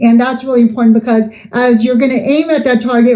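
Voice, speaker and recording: A woman talks at a fairly quick pace in a fairly high pitch. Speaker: network marketing leader. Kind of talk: motivational talk. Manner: fast; animated.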